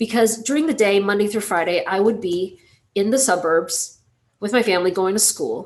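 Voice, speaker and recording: Medium-pitched woman at a moderate pace, a normal speaking voice with ordinary pitch variation. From US South, Georgia (moved from Taiwan at six). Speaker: industrial designer and entrepreneur. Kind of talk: public talk with slides. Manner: casual, many filler words.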